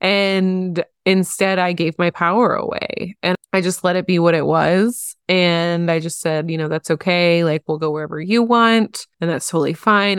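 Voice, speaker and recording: On a very clean recording with a silent background, a woman with a normal speaking voice and fairly low pitch speaks at a moderate pace with hardly any pauses. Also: dry, close sound with no echo. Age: 30s. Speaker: podcast host. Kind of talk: solo podcast monologue. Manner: casual, conversational.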